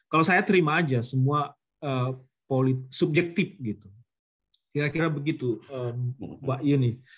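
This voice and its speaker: A man with a North Sumatran accent speaks at a moderate pace in a fairly high pitch, his voice somewhat breathy. His pitch variation is ordinary, and he leaves long, frequent pauses. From North Sumatra, Mandailing Natal. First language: Mandailing (speaking Indonesian). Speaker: guest lecturer, researcher. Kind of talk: lecture Q&A. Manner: halting, with fillers and restarts.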